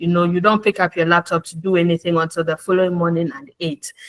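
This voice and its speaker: A woman with a fairly low pitch is recorded with a dry, close sound and no echo. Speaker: human resources professional. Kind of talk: webinar presentation.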